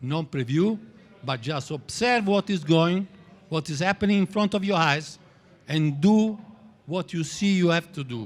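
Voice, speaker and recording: A man talks at a high pitch with lively intonation. His pace is fairly slow, with long, frequent pauses. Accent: Italian. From Italy. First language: Italian. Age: 60s. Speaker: trading teacher. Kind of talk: lecture. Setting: stage with audience. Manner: halting.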